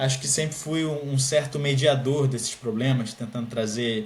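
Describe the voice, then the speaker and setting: A man's medium-pitched, moderately paced speech with a Carioca accent, audible room echo and noticeable background noise. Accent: carioca (Rio de Janeiro) Portuguese. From Brazil, Rio de Janeiro. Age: 20s. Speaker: scholarship student, master's student. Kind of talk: podcast interview.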